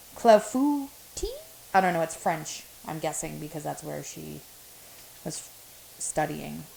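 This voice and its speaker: A woman with a slight non-native accent, fairly slow with long, frequent pauses, big swings in loudness, noticeable background noise behind her. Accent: has an accent, slight. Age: 30s. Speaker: home cook streamer. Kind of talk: casual cook-along chat.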